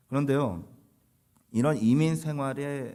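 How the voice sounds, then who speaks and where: The recording is very clean, with a silent background. A man speaks at a moderate pace in a fairly high pitch. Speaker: pastor. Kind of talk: sermon.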